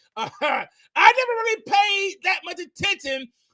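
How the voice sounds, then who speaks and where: A raised, projected voice, bright and sharp, energetic in tone, in a dry, close sound with no echo. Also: man. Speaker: podcast host. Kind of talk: podcast interview.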